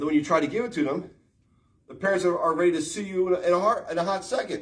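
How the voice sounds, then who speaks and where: A man talks loudly and very fast in a high, animated voice with ordinary pitch variation. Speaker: martial arts livestreamer. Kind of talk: livestream rant. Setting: live stream while working out.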